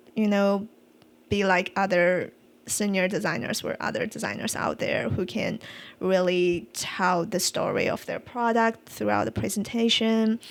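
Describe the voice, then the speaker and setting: Speaking at a fairly slow pace with a non-native accent, a woman is heard on a very clean recording with a silent background. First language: not English. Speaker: UX design podcast co-host. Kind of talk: casual chat. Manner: halting.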